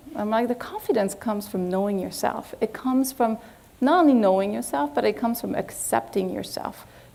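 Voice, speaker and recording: Speaking in a French accent at a moderate pace, a woman has a fairly high pitch, ordinary pitch variation and a dark, mellow tone. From France. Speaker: agency executive. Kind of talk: lecture.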